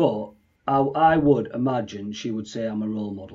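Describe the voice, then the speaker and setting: A man with a Yorkshire accent talks at a fairly slow pace. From Leeds, northern England. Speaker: customer operations trainer. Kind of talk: casual interview.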